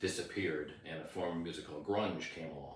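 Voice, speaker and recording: Fairly quick, a man talks in a very deep, low voice. Room echo is audible and background noise is noticeable. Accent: American. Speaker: rock singer. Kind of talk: interview. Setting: on camera.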